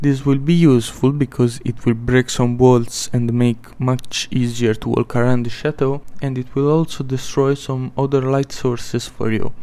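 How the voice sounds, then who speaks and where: A man's dark, mellow voice at a medium pitch, monotone and flat, at a moderate pace with hardly any pauses. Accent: non-native. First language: not English. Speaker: gaming video creator. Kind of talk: gameplay tips narration.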